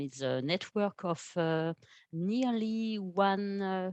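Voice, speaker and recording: Against a quiet background, a woman speaks with a French accent and ordinary pitch variation. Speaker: art education program manager. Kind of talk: webinar presentation. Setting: online webinar. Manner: halting, many fillers.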